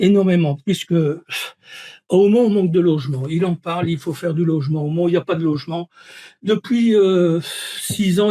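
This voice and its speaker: A high-pitched man at a moderate pace with ordinary pitch variation, in a dry, close recording with no echo. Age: 70s. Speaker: retired engineer, local election candidate. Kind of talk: interview.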